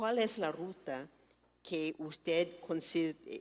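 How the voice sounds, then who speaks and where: In a very clean recording with a silent background, a woman speaks with a non-native accent at a fairly low pitch. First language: not Spanish (speaking Spanish). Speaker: forum moderator. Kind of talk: business forum Q&A.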